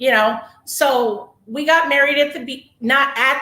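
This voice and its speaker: In a raised, projected voice with audible room echo, a woman with an American accent speaks at a high pitch with ordinary pitch variation. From Northern California. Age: 40s. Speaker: massage therapist. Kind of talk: testimony interview.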